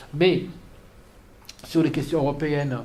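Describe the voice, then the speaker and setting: In a room with audible echo, a man speaks at a fairly high pitch with ordinary pitch variation. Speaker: political analyst. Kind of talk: lecture. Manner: halting.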